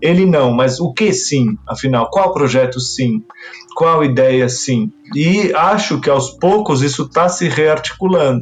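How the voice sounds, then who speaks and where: Against noticeable background noise, a man with a fairly high pitch talks at a fairly slow pace, his intonation lively and his loudness very even. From Brazil, Argentine parents. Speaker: writer and literary critic. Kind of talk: interview. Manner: hesitant, repeats words.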